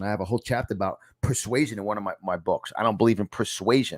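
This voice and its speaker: On a very clean recording with a silent background, a man with a New York accent speaks very fast in an animated tone with ordinary pitch variation. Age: 50s. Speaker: podcast host and self-help author. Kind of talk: motivational teaching from own book. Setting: studio.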